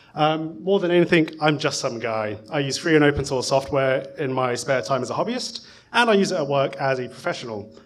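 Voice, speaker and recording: A man with a British accent talks at a fairly quick pace and fairly high pitch, his intonation lively and with hardly any pauses. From UK. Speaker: conference speaker, software professional; conference speaker. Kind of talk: conference talk. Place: hall. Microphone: podium.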